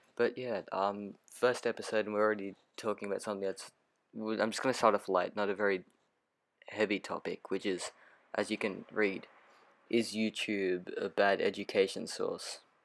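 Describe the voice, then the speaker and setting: Flat, monotone intonation marks this man's fairly low voice at a moderate pace. The recording is very clean, with a silent background. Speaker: podcast host. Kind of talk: casual monologue. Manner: unconfident, hesitant; unscripted, filler words.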